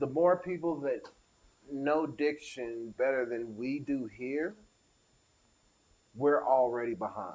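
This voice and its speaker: With an American accent, a man with a fairly high voice speaks at a very slow pace, with ordinary pitch variation and long, frequent pauses. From US, spent summers in the South. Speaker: podcast host. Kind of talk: casual chat. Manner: animated.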